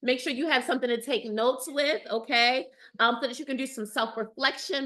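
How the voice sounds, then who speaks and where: Against a quiet background, a woman uses a raised, projected voice, high in pitch and bright, sharp in tone, at a fairly quick pace. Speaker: dating coach. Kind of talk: live webinar. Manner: animated.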